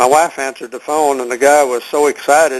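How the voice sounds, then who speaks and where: Speaking in a Texan accent, a man delivers his words at a fairly quick pace and a medium pitch with monotone, flat intonation. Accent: Texan Southern US. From Texas. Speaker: health product seller. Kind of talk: conference call Q&A. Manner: halting, many fillers.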